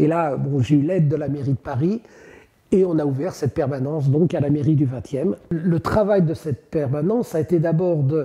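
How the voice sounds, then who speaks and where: At a moderate pace, a man speaks in a fairly high, somewhat breathy voice with a dark, mellow tone. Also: ordinary pitch variation. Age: 70s. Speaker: human rights activist. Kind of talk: testimony. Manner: halting, with frequent hesitations.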